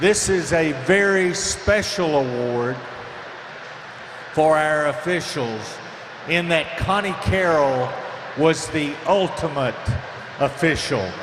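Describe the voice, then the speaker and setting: A man with a fairly high pitch speaks at a very slow pace, leaving long, frequent pauses, with ordinary pitch variation. Audible room echo and noticeable background noise are present. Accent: American. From US South, upstate South Carolina. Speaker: swim meet official. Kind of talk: award presentation speech.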